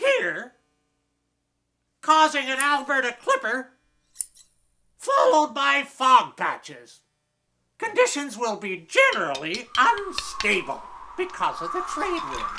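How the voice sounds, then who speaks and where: A man puts on a character voice with an extremely high pitch. He talks fairly slowly, with long, frequent pauses. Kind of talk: mock TV weather forecast. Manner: goofy, rambling.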